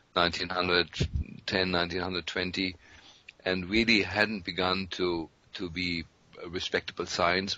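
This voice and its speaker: A man speaks with very deep, low pitch in a monotone, flat delivery at a moderate pace. He takes long, frequent pauses over noticeable background noise. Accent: German. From Germany. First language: German. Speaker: physician. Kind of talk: interview.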